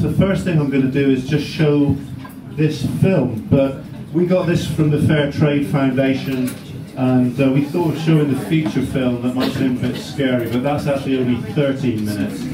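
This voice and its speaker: Over noticeable background noise and audible room echo, a man talks at a moderate pace with a fairly high pitch and very even loudness. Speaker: fair trade advocate, community talk speaker. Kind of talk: public talk. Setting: cafe event with live audience, microphone.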